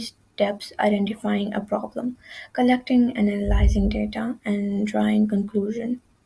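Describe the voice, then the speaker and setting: At a moderate pace, a woman with a non-native accent speaks in a somewhat breathy voice of medium pitch, her dark, mellow tone held in a monotone, flat intonation. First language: not English. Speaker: student presenter. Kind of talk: tutorial. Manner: halting, with frequent self-corrections.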